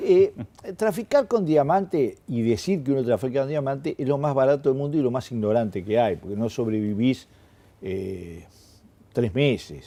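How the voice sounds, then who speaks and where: A man with a Uruguayan accent, medium pitch, dark and mellow tone, moderate pace, and very wide pitch swings. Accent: Uruguayan Rioplatense Spanish. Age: 60s. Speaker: publicist and journalist, former political activist. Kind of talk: interview. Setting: newspaper newsroom.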